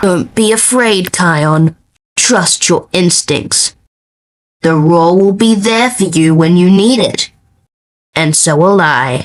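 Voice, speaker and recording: Using a put-on character voice at a medium pitch, a woman talks at a fairly slow pace with long, frequent pauses. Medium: fan dub. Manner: calm, gentle.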